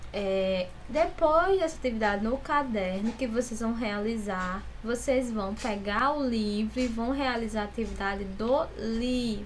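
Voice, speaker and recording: At a fairly slow pace, a somewhat breathy woman speaks in a fairly high pitch with ordinary pitch variation, and audible room echo surrounds her. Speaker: school teacher. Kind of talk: recorded online class instructions.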